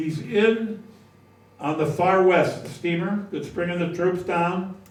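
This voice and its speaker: Amid audible room echo, a man with a high pitch speaks at a fairly slow pace. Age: 80s+. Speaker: local historian giving a talk. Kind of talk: history talk to a society audience. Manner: conversational, with hesitations.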